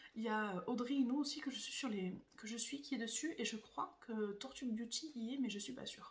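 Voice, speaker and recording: This woman talks fairly quickly, her high voice showing ordinary pitch variation. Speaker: beauty YouTuber. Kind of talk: casual vlog talk. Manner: fast.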